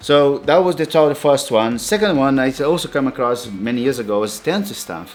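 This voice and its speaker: Amid noticeable background noise, a man with a non-native accent speaks at a fairly quick pace with lively intonation. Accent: foreign. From outside Europe. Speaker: tattoo artist. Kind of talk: tutorial. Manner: halting, many fillers.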